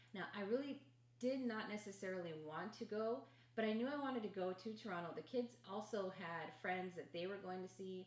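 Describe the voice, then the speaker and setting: Noticeable background noise sits behind a woman with an American accent and medium pitch. She talks at a fairly quick pace with lively intonation. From Los Angeles, California. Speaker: podcast co-host. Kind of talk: casual chat.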